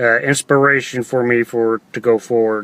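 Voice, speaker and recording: Medium-pitched male voice with a slight Texas accent at a fairly slow pace, dry and close with no echo. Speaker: online entrepreneur vlogger. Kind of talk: livestream monologue. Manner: halting, many fillers.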